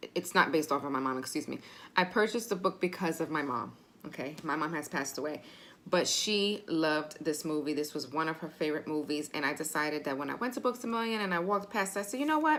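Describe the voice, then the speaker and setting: Her pitch is very deep and low, and this woman talks at a very fast pace. Her tone is animated, with lively intonation. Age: 30s. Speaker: booktuber. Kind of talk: casual vlog talk.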